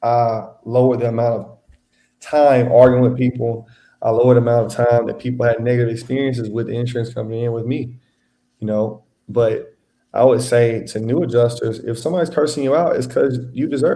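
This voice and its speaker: Speaking fairly quickly with an American accent, a man uses a medium-pitched, dark, mellow voice with fairly even intonation. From Louisiana and Texas. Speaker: independent insurance adjuster. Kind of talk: casual interview. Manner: casual, relaxed.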